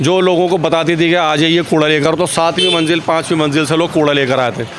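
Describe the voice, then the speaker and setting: Noticeable background noise behind a man at a fairly high pitch, moderate pace and fairly even intonation. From Old Delhi, India. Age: 60s. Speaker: volunteer street cleaner. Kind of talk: interview.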